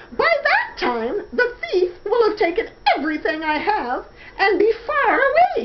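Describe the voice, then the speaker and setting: A woman puts on a squeaky character voice at an extremely high pitch, swinging very widely in pitch at a moderate pace. Loud background noise fills the recording. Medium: read story.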